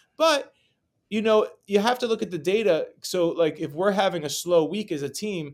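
An ordinary speaking voice with an American accent goes at a moderate pace with ordinary pitch variation. The recording is very clean, with a silent background. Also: man. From New York City. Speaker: real estate broker. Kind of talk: interview.

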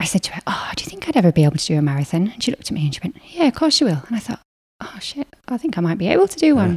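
A woman at medium pitch talks very fast with very wide pitch swings, heard as a dry, close sound with no echo. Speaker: marathon runner and business co-founder. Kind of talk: casual interview chat.

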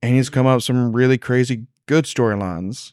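A man with a normal speaking voice, medium pitch, moderate pace and fairly even intonation, on a very clean recording with a silent background. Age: young. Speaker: wrestling fan, friend of host. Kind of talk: casual chat.

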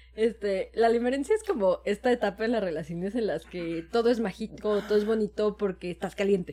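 This woman talks at a fairly quick pace with a fairly high pitch and ordinary pitch variation. Noticeable background noise is present. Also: hardly any pauses. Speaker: podcast co-host. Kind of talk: casual chat.

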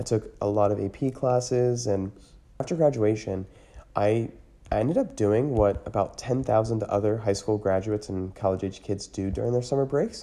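A man with an American accent and a dark, mellow tone speaks at a moderate pace and fairly low pitch, with ordinary pitch variation against a quiet background. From US, Pennsylvania (Lancaster County area). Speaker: podcast host. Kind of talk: monologue.

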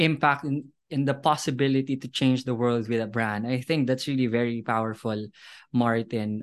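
In a quiet background, a man speaks with an enthusiastic tone at a medium pitch and ordinary pitch variation. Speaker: podcast host. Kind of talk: interview.

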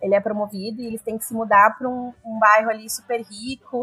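In a plain, everyday voice, the speaker moves at a fairly quick pace with fairly even intonation. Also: woman. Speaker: podcast co-host. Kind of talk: casual chat.

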